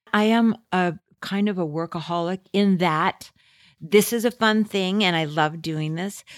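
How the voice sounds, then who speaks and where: In a dry, close sound with no echo, a woman with an American accent speaks at a fairly slow pace with ordinary pitch variation, on a very clean recording over a silent background. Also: medium pitch for a woman. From California, Fresno. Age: 60s. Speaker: comedian and writer. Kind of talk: interview.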